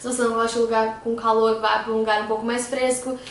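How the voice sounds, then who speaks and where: Audible room echo and noticeable background noise fill the recording. Through them comes a woman's fairly high voice. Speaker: YouTuber, former au pair. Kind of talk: casual vlog talk to camera. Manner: fast; animated.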